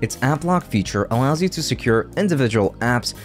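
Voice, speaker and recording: A man is speaking. Music plays faintly behind him. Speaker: tech youtuber. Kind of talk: tutorial. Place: home room. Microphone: studio mic.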